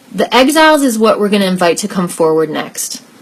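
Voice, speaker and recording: A woman's lively intonation at a fairly quick pace, over noticeable background noise. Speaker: life coach and workshop leader. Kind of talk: online group workshop. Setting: live video stream.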